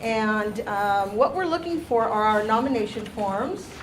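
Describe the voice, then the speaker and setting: A woman talks over noticeable background noise. Audible room echo surrounds her voice. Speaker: staff member at a teacher training meeting. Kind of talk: announcements at a meeting. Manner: loud.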